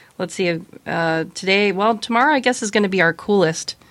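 Speaking at a fairly quick pace, a woman has an unremarkable speaking voice. Her medium-pitched delivery carries lively intonation. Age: 40s. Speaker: podcast co-host. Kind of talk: casual chat.

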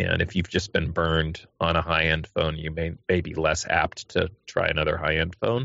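Very deep, low male voice at a moderate pace, with fairly even intonation and hardly any pauses. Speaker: podcast panelist. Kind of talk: casual panel discussion.

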